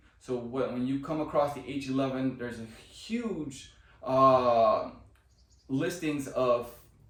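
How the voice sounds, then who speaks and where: A man's medium-pitched voice at a fairly slow pace, with noticeable background noise and audible room echo. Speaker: car DIY video creator. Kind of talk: tutorial. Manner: loud; casual, enthusiastic.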